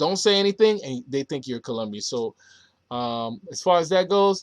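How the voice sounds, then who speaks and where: A man with an American accent speaks at a moderate pace with lively intonation. The background is quiet and the sound dry and close, with no echo. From United States. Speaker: travel vlogger. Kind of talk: casual Q&A vlog. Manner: halting, self-correcting.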